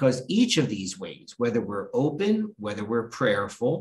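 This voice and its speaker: Over light background noise, a somewhat breathy man talks at a moderate pace. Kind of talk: sermon. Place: office. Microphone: webcam.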